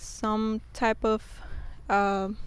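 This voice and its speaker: Speaking in a Spanish accent, a woman delivers her words with monotone, flat intonation. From Mexico. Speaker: YouTuber. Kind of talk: casual vlog talk. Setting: outdoors.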